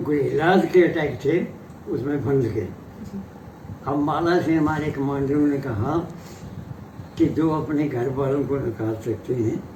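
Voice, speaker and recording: The speech has ordinary pitch variation. Noticeable background noise can be heard. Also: man. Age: 80s+. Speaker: retired army captain, war veteran. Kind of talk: interview answer.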